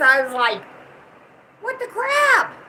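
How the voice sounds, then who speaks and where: A woman with a Southern US accent speaks in a raised, projected voice at a fairly slow pace. Her pitch is high and swings very widely. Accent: Southern country twang. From US South. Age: 60s. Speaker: channel owner's mother, co-host. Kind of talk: casual chat.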